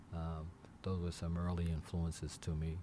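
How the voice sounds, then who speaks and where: A man with a very deep, low pitch and a dark, mellow tone sounds somewhat breathy as he talks at a moderate pace. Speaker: aviation accident investigator. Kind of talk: interview. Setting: studio.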